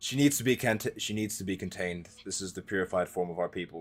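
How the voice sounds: A booming, put-on character voice from a man, very deep and low in pitch, rattled off at a very fast pace over faint music in the background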